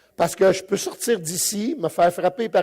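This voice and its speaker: A man's high-pitched voice with a dark, mellow tone and a Quebec accent, at a fairly slow pace. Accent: Québécois French. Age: 60s. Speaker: pastor. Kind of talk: sermon. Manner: halting, many repetitions and fillers.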